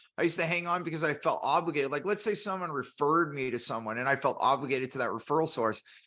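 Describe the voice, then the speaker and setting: A man speaks loudly and very fast in a bright, sharp tone. His pitch sits fairly high, and the background is quiet. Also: ordinary pitch variation, hardly any pauses. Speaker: business podcast host. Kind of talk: casual panel discussion.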